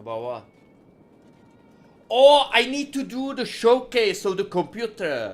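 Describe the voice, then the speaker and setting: Speaking at a fairly slow pace with long, frequent pauses, a man with a high pitch shows ordinary pitch variation and big swings in loudness. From Czech Republic. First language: Czech. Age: 40s. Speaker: gaming streamer. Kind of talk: live stream chat while gaming. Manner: repeats phrases often.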